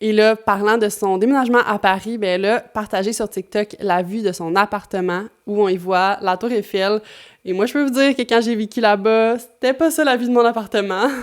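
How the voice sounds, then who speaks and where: A woman with a Quebec accent speaks at a fairly high pitch. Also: ordinary pitch variation, moderate pace, very clean recording, silent background. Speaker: YouTuber. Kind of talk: commentary video. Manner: casual, with many fillers.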